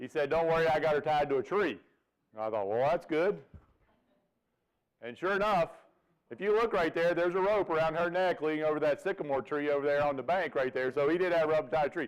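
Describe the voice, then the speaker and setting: With a Virginia accent, a man talks at a very fast pace in a fairly high pitch with ordinary pitch variation but long, frequent pauses. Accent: Virginia Southern. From Virginia, US. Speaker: veterinarian professor. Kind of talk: seminar lecture. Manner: folksy, humorous.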